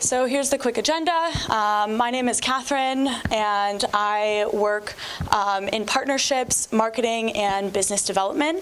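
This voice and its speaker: Loudness stays very even at a moderate pace, with ordinary pitch variation. Noticeable background noise is present. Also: woman, fairly high pitch for a woman. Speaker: startup business development representative. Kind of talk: startup pitch presentation.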